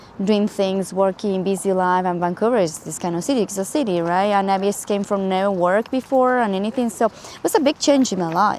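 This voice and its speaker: With a Spanish accent, a woman talks at a fairly quick pace. Her medium-pitched voice runs on with hardly any pauses. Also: ordinary pitch variation. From Spain. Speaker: travel vlogger. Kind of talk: casual reflective vlog talk. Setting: outdoors in a park. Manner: halting, with fillers and restarts.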